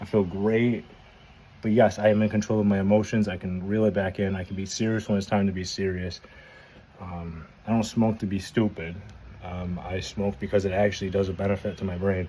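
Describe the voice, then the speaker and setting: Fairly quick yet broken by long, frequent pauses, a man's fairly low voice has a dark, mellow tone and monotone, flat intonation. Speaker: vlogger. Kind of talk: casual monologue. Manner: halting.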